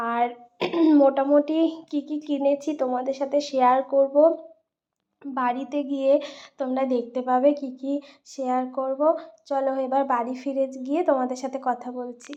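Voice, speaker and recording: A woman speaks quietly in a high, dark and mellow voice with flat, monotone intonation. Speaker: vlogger. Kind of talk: casual vlog narration. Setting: outdoors at a fair.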